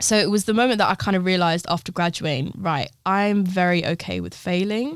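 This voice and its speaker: A woman with a London accent and ordinary pitch variation, in a very clean recording with a silent background. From London (Harrow), Brazilian parents. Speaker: fashion designer and artist. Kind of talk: interview.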